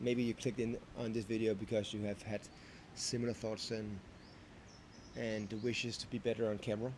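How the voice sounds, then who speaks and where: Long, frequent pauses break up a man's fairly quick delivery. His medium-pitched voice stays monotone and flat. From Denmark. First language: Danish. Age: 30s. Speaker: vlogger. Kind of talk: unscripted vlog monologue. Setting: talking to camera. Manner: halting, self-correcting.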